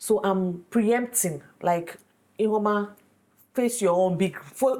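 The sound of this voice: A woman speaks slowly at medium pitch. Her tone is slightly mellow, with ordinary pitch variation.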